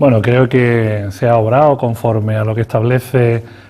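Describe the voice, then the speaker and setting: Noticeable background noise sits under a man's voice. He speaks at medium pitch and a moderate pace with fairly even intonation. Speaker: politician, party spokesman. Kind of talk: TV interview answer.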